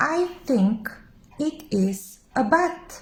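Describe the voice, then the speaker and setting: A woman does a put-on character voice with a high pitch and very wide pitch swings. There is hissing on the clip. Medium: read story.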